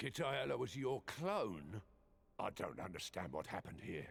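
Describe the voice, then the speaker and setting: Moderate-paced, raspy put-on character voice of a man at medium pitch. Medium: video game. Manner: casual, inquisitive.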